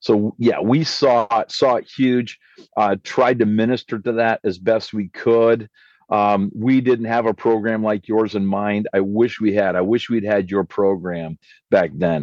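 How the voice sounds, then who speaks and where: A man with a fairly low pitch talks at a fairly slow pace in a normal speaking voice, with ordinary pitch variation and a dry, close sound with no echo against a quiet background. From Canada. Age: 50s. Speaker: pastor. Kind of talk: casual chat.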